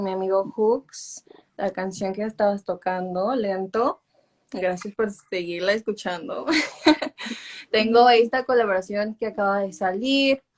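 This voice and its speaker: This woman has an unremarkable speaking voice, pitched fairly high, with ordinary pitch variation and a fairly slow pace. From Los Angeles, Mexican family. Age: 20s. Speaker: singer. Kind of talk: interview.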